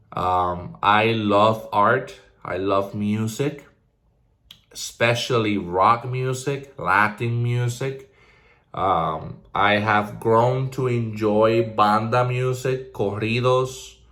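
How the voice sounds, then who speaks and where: A man's bright, sharp voice at a very slow pace, with ordinary pitch variation and audible room echo. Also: medium pitch for a man. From Puerto Rico (Ponce). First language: Spanish. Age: 20s. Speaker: vlogger. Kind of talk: casual personal vlog monologue. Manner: energetic.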